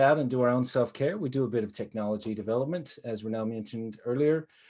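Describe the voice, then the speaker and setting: On a very clean recording with a silent background, a man with an American accent talks with ordinary pitch variation. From United States. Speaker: social worker and business owner. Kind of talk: conference presentation.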